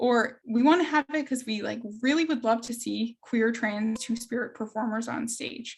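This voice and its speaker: A woman's high voice moves at a moderate pace, its pitch varying in an ordinary way. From Ontario, Canada. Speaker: workshop facilitator. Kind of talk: online workshop.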